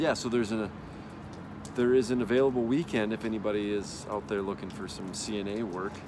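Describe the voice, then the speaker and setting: This man has a Wisconsin accent and a fairly low pitch. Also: ordinary pitch variation, fairly quick pace. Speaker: spinal cord injury patient. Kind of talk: video diary update. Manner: casual, with fillers.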